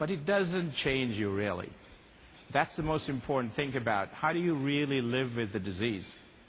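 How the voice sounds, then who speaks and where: With lively intonation and very even loudness, a somewhat breathy man speaks at a medium pitch and moderate pace amid audible room echo. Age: 60s. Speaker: company executive and conference speaker. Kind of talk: conference keynote talk.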